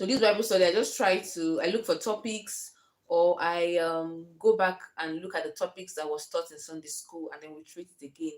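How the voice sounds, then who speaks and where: A woman's fairly low voice with ordinary pitch variation, big swings in loudness and hardly any pauses. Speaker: lifestyle vlogger, homemaker mother. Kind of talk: casual vlog talk to camera. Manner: fast.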